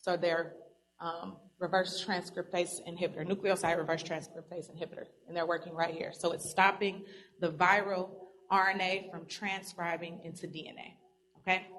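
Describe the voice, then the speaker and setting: The woman's intonation is monotone and flat, her pitch fairly low. Her loudness swings widely. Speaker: pharmacy presenter. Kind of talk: lecture. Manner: fast.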